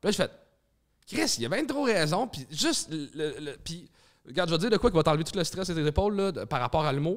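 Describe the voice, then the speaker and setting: With a Quebec accent, a man talks at a fairly quick pace in a high voice against a quiet background. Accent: Québécois French. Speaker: stand-up comedian and comedy club owner; stand-up comedian. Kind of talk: casual chat. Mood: relaxed, animated. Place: studio. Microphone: studio mic.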